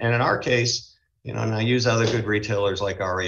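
A man with an American accent. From Boston, US Northeast. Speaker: retail company CEO. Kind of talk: interview.

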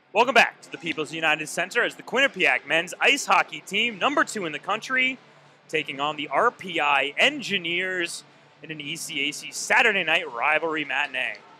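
Against music in the background, a man speaks at a high pitch with very wide pitch swings and big swings in loudness, the sound dry with no echo. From Vermont. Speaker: play-by-play announcer. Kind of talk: live sports commentary. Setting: broadcast booth at arena. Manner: fast, excited play-by-play delivery calling each shot and save as it happens. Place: stadium.

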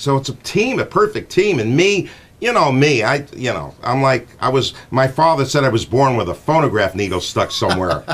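Speaking with an American accent and hardly any pauses, a man swings his pitch very widely. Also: moderate pace. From Connecticut, USA. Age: 60s. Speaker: morning radio show host. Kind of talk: radio show talk, casual and chatty. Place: studio. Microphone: studio mic.

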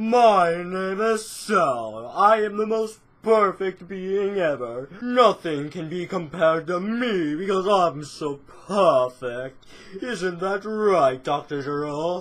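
A put-on character voice at a very slow pace. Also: man, high pitch for a man. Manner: smug, pompous.

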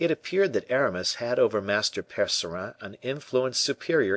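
Over a quiet background, a man with an ordinary speaking voice and medium pitch talks at a moderate pace with lively intonation. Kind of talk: audiobook reading of a classic novel. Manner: measured, even narration that shifts into character voices for dialogue.

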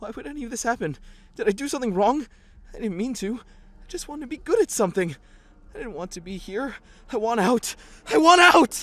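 A man puts on a character voice with extremely high pitch, lively intonation, a fairly bright tone and a fairly quick pace.

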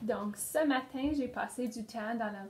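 Here a woman speaks at a very slow pace. Her pitch is fairly high, with ordinary variation. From northern Ontario (Sudbury region). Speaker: pedagogical consultant. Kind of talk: interview.

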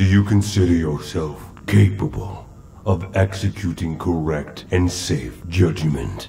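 A man talks at a fairly slow pace in a very deep, low voice. Clear background noise can be heard. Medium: short film.

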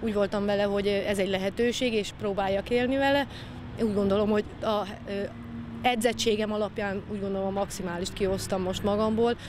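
A woman's medium-pitched, monotone, flat voice at a fairly quick pace, dry with no echo, over noticeable background noise. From Hungary, Gyula; Hungary. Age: 40s. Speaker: ultramarathon runner. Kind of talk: interview. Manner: halting. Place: street. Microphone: handheld.

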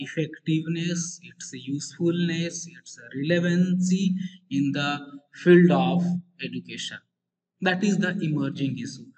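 The speaker is a man with a high pitch. He talks at a fairly slow pace. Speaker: university teacher. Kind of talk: lecture. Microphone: video call.

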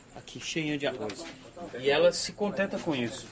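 Noticeable background noise sits behind a man's fairly high voice. He speaks at a moderate pace with ordinary pitch variation. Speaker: TV reporter. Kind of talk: TV news field report. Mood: indignant, appalled. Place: home room.

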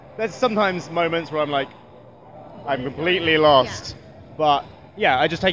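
Speaking very fast with a British accent, a man uses a fairly high pitch and ordinary pitch variation, the sound dry with no echo and light background noise behind him. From UK. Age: 20s. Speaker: YouTuber. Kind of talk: casual interview. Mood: relaxed, self-deprecating, upbeat. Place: hall. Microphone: handheld.

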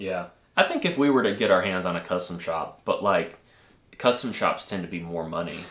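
Audible room echo on a man's voice at a fairly quick pace. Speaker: guitarist co-host; co-host. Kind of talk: casual live stream chat about music gear. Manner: halting, filler-heavy. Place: studio.

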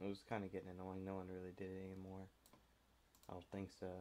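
Dark and mellow in tone, a very deep, low male voice. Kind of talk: casual screen-recording commentary. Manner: casual, hesitant.

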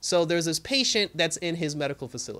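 Ordinary pitch variation at a very fast pace. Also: man. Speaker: TV episode reviewer. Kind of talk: casual review commentary. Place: home room. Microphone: studio mic.

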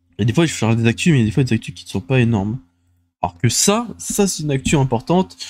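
A man at a very fast pace, somewhat breathy, with very wide pitch swings and a dry sound with no echo. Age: 20s. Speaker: gaming and transport news video host; streamer. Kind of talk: solo casual show commentary. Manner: halting, many fillers and repetitions. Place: home room. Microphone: studio mic.

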